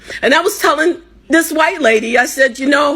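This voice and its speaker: A woman with an American accent speaks in a raised, projected voice at a high pitch. Her pace is moderate and her pitch varies in an ordinary way. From United States. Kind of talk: impassioned personal talk.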